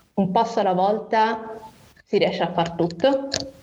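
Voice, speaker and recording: A woman speaks with a fairly high pitch and ordinary pitch variation. Audible room echo surrounds her voice. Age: 20s. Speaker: nurse and rare disease patient. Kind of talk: interview testimony. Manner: hesitant, many fillers.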